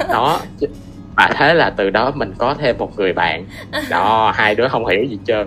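With music in the background, a man of medium pitch speaks at a fairly slow pace with lively intonation and long, frequent pauses. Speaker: engineering student. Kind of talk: casual interview.

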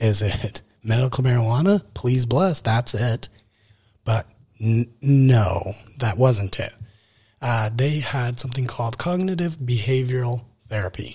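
A somewhat breathy, medium-pitched male voice with an American accent, at a fairly slow pace with long, frequent pauses. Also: ordinary pitch variation. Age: 20s. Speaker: podcast host. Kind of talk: personal monologue. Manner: casual, rambling with fillers.

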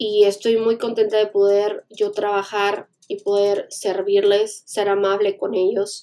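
A woman with a dark, mellow tone talks very slowly at a medium pitch in a flat monotone, with hardly any pauses. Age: 20s. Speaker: podcaster. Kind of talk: personal monologue. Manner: hesitant, many fillers.

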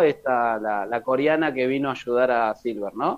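A man speaks at a very slow pace. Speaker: podcast co-host. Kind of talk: casual chat.

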